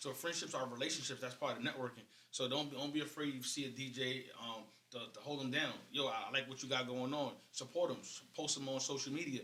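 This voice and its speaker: A man with an American accent, medium pitch, monotone and flat intonation, a fairly quick pace, audible room echo and noticeable background noise. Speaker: DJ and radio interviewer. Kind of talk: casual chat.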